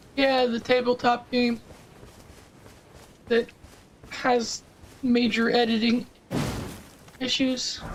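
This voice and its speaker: Against noticeable background noise, a woman with a high pitch speaks at a very slow pace in a monotone, flat delivery. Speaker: gaming streamer. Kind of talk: casual chat. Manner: halting.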